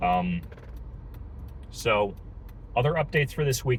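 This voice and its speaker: A man speaks at a fairly quick pace. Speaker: small business owner vlogger. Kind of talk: casual vlog update. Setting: in a car, driving. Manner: fast; hesitant, many fillers and repeats.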